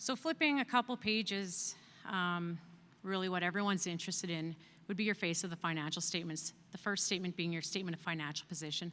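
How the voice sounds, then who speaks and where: Loud and very fast, a woman's fairly low voice has a bright, sharp tone and ordinary pitch variation, on a very clean recording with a silent background. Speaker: external auditor. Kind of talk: financial report presentation at annual meeting.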